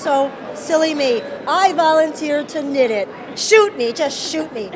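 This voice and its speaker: With a New York accent, a woman speaks at a fairly slow pace in a high pitch with lively intonation, with audible room echo and noticeable background noise. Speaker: crochet and knitting designer. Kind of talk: casual interview. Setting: outdoors at a baseball stadium.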